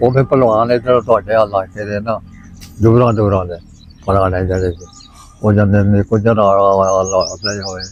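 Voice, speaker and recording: With fairly even intonation and a fairly low pitch, a man talks over noticeable background noise. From Hoshiarpur, East Punjab, India. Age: 80s+. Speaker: partition survivor. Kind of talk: interview answer, reminiscence.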